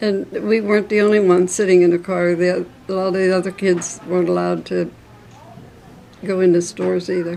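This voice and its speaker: Amid noticeable background noise, a woman with a Western Pennsylvania accent speaks at a fairly quick pace in a medium pitch with monotone, flat intonation. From Armstrong County, Pennsylvania. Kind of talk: oral history interview answer.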